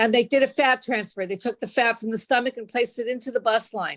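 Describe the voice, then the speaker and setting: This woman has an ordinary speaking voice with a fairly high pitch and fairly even intonation. The recording is very clean, with a silent background. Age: 60s. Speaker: patient sharing testimonial. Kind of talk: testimony.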